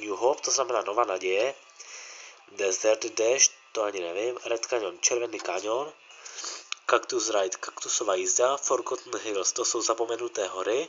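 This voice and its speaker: Over noticeable background noise, a man talks at a moderate pace with a medium pitch and ordinary pitch variation. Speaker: gaming youtuber. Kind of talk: gameplay commentary. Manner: halting.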